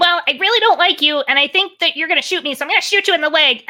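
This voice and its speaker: A put-on character voice, extremely high in pitch and very fast. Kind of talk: casual, conversational. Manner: blunt, chaotic yet apologetic.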